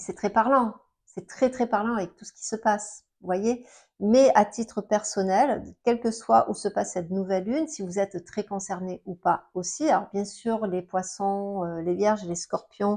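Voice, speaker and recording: Against a quiet background, a woman of medium pitch and ordinary pitch variation talks at a fairly slow pace with big swings in loudness. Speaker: astrologer. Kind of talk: astrology talk to camera. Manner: halting, many fillers.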